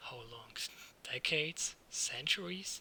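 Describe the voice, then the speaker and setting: A man whispering in a put-on character voice at a fairly slow pace, with clear background noise. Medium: read story. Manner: talkative, eager.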